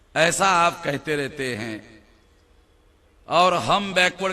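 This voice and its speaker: A man with a high voice talks while noticeable background noise fills the clip. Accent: Marathi. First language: Marathi (speaking Hindi). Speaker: political speaker. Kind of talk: public speech.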